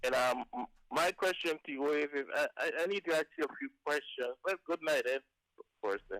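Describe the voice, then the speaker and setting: A man with a Bay Islands accent speaks at a fairly high pitch and a moderate pace with ordinary pitch variation, the sound dry and close with no echo. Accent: Bay Islands Caribbean English. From Bay Islands of Honduras, Caribbean. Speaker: caller. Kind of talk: phone-in question.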